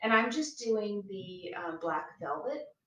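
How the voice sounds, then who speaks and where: The woman speaks at a fairly slow pace. Audible room echo surrounds her voice. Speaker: craft demonstrator live-streaming. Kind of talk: live craft tutorial. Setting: bedroom floor, live stream. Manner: casual, with many fillers.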